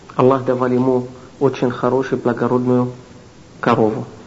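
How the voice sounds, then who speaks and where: Over noticeable background noise, a man speaks at a medium pitch. His pace is moderate, and room echo is audible. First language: Arabic (speaking Russian). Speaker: Islamic lecturer. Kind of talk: lecture. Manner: halting.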